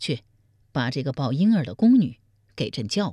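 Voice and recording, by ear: Using a put-on character voice, a woman speaks at an extremely low pitch with a dark, mellow tone and big pitch swings. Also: moderate pace, very clean recording, silent background.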